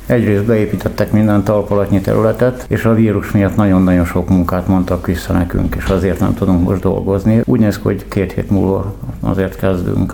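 A man with a very deep, low voice speaks at a fairly quick pace with ordinary pitch variation. The room echo is audible, and background noise is noticeable. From Pécs, Hungary. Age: 60s. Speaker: homeless construction worker. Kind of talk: interview.

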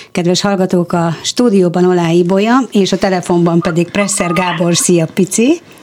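Very even loudness over noticeable background noise. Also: woman, medium pitch for a woman, fairly even intonation, moderate pace, hardly any pauses. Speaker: radio host. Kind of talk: interview. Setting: studio.

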